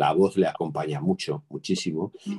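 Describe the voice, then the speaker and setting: At a fairly slow pace, a man speaks in a dark, mellow tone with a fairly low pitch. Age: 60s. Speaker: retired administrator, library user. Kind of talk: casual chat.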